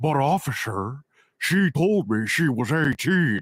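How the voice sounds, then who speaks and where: A man does a put-on character voice at a fairly high pitch and a fairly slow pace. The recording is very clean, with a silent background. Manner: comedic, exaggerated.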